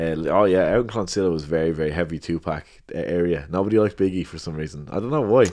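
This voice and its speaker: A man's very deep, low voice at a very fast pace, with ordinary pitch variation and a quiet background. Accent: Dublin. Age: 30s. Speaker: rapper. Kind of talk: casual chat. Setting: at home.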